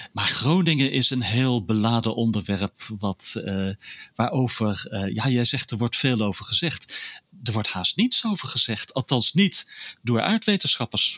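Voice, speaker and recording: A man talks at a fairly slow pace and medium pitch, his intonation lively. The sound is dry and close, with no echo. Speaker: energy analyst. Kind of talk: casual interview. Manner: halting.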